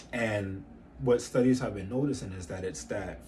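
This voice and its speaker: Over music in the background and audible room echo, a man with a fairly low pitch talks at a fairly quick pace with lively intonation. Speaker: fitness business coach. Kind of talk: tutorial. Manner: fast.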